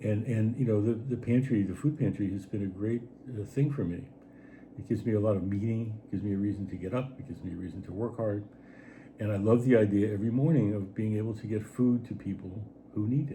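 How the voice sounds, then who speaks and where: A man speaks very fast in a fairly low voice with fairly even intonation. Room echo is audible. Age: 70s. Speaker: writer and artist. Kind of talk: casual chat. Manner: halting.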